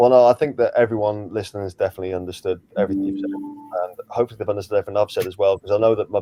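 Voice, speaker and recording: With music in the background, a man speaks at a fairly low pitch and fairly even intonation. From England, Liverpool. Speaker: crypto YouTuber. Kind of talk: casual interview.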